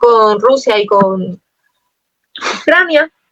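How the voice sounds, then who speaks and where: A woman is speaking. The sound is dry and close with no echo. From Spain. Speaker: poet. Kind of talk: interview. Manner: fast.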